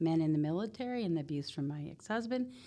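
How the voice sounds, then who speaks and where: A woman with a fairly low pitch and a dark, mellow tone is heard in a very clean recording with a silent background. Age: 60s. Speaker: author and army veteran. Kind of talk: interview.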